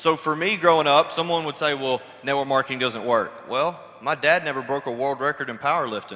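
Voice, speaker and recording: Over noticeable background noise, a man with an American accent speaks in a medium pitch at a fairly quick pace with ordinary pitch variation. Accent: Kentucky accent, joked about. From Kentucky, US South. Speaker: network marketer. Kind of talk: panel testimony. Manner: casual, joking.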